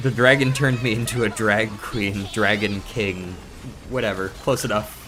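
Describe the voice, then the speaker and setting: With music in the background and audible room echo, a man speaks in a fairly low voice with fairly even intonation. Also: moderate pace. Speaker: video game streamer. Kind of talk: casual live-stream chat. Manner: flat, not very expressive tone.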